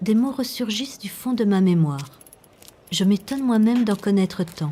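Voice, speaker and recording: A normal speaking voice from a woman at a medium pitch and a moderate pace, with lively intonation. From Belgium, Brussels. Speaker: documentary filmmaker. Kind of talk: documentary narration.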